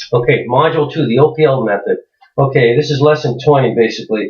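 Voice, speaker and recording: A man's somewhat breathy, fairly high-pitched voice. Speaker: internet marketer. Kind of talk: tutorial. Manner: halting, many fillers.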